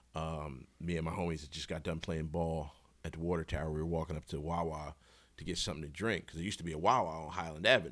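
A man with an American accent talks at a very fast pace. His pitch is very deep and low, with fairly even intonation. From Philadelphia, Mount Airy. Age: 40s. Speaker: rapper and podcaster. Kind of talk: casual chat. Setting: studio.

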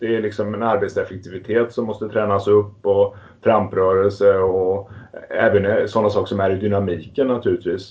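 In a monotone, flat intonation, a man with a fairly low pitch talks at a moderate pace. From Småland, Sweden (Västervik). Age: 50s. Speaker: entrepreneur and amateur cyclist. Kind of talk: interview.

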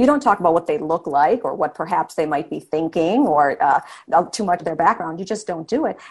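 A normal speaking voice moves at a fairly quick pace. Its intonation is lively. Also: woman, fairly low pitch for a woman. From Wisconsin, Milwaukee. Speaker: author and TV reporter. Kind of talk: interview.

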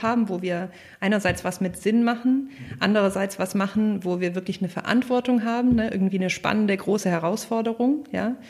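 A woman's plain, everyday voice, medium in pitch, at a fairly quick pace with ordinary pitch variation. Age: 30s. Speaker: company founder. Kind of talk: interview.

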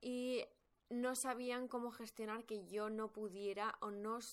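With a bright, sharp tone, a woman speaks at a fairly high pitch and keeps her intonation fairly even. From Spain. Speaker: podcast host, personal growth coach. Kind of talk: personal storytelling monologue.

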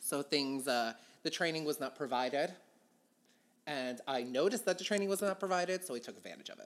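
Speaking very fast with an American accent, this voice is broken by long, frequent pauses, and the very clean recording has a silent background. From Philadelphia, US. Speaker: drag queen comedian. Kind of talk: casual interview banter. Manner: high energy, irreverent.

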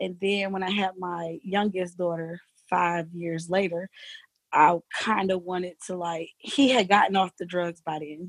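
In an ordinary speaking voice, a woman with an American accent talks fairly slowly at a medium pitch and with fairly even intonation, the sound dry and close with no echo. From US South, Jacksonville, Florida. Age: 30s. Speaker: middle school teacher. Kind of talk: casual interview.

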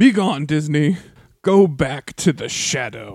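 A man uses a put-on character voice pitched fairly high. His intonation is lively. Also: fairly slow pace. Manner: commanding, shouted, comic.

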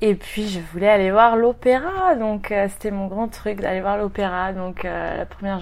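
Here is a woman at medium pitch. She speaks at a moderate pace. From Brittany, France (Rennes). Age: 30s. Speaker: expatriate, aspiring singer. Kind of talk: interview.

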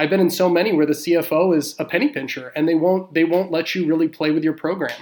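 A man's high-pitched voice at a very fast pace, fairly even in intonation, with hardly any pauses. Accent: American. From Houston, Texas. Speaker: retail loyalty consultant. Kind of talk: panel discussion on loyalty programs.

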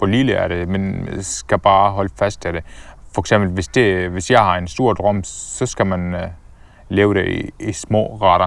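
A man with an Arabic accent speaks with fairly even intonation. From Syria (Damascus), Palestinian family. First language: Arabic (speaking Danish). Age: 20s. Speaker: entrepreneur. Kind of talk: casual interview. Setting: outdoors walking in a forest. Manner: halting with many fillers.

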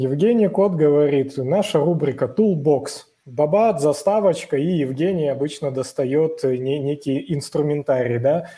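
Somewhat breathy man, fairly high pitch, dark, mellow tone, ordinary pitch variation, fairly slow pace. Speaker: podcast co-host.

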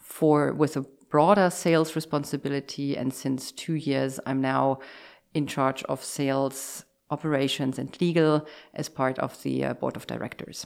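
In a very clean recording with a silent background, a woman with a German accent speaks at a moderate pace in a flat monotone, her pitch very deep and low. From Germany. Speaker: insurance executive. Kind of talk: interview. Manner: halting.

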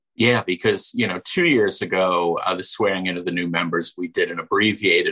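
A man speaks at a moderate pace. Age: 50s. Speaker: radio host. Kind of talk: casual chat.

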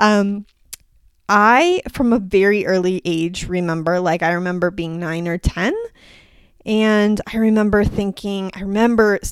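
A woman's ordinary speaking voice at a medium pitch and fairly slow pace, on a very clean recording with a silent background. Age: 40s. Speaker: podcast host, women's health practitioner. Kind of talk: solo podcast monologue. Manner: casual, with fillers.

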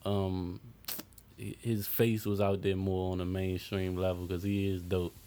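A man's very deep, low pitch in monotone, flat intonation at a fairly slow pace, with noticeable background noise. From Maryland, US. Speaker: music producer. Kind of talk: casual chat.

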